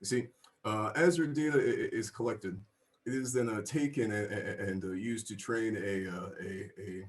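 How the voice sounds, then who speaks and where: With a fairly low pitch, some breathiness and ordinary pitch variation, this man talks at a moderate speed. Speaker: college student presenter. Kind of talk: class presentation. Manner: halting, many fillers.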